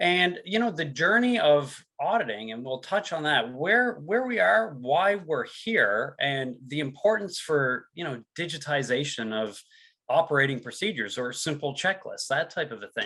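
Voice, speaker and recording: A man speaks at a moderate pace with a Newfoundland accent. His fairly high pitch moves in very wide swings. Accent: Newfoundland accent, noticeable. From Newfoundland and Labrador, Canada. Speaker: sales and product presenter. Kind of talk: webinar presentation. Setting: online webinar.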